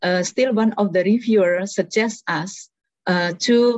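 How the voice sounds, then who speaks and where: A woman with an Indonesian accent at a very slow pace, ordinary pitch variation, and a dry, close sound with no echo. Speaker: researcher and policy analyst. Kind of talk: workshop presentation. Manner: hesitant, many fillers.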